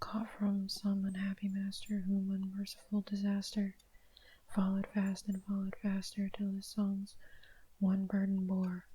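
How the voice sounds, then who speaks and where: Soft-spoken, the speaker keeps to a moderate pace. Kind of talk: ASMR poetry reading.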